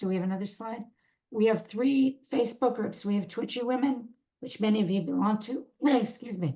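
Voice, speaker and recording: Somewhat breathy female speech, with a dark, mellow tone and ordinary pitch variation. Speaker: webinar host for a Parkinson's support group. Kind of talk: announcements at end of webinar. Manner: halting, many fillers and self-corrections.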